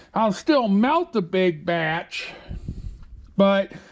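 The speaker is a man. Behind him the background is quiet. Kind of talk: casual vlog chat. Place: garage. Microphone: phone near.

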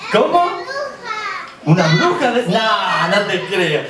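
With crowd noise behind him, a man talks at a very slow pace. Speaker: storyteller. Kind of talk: children's theatre performance. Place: stage. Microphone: camera far.

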